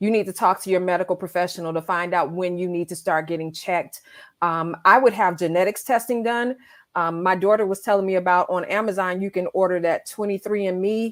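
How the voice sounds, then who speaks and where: A woman's animated, medium-pitched voice at a fairly quick pace, on a very clean recording with a silent background. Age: 50s. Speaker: breast cancer survivor. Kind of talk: casual chat.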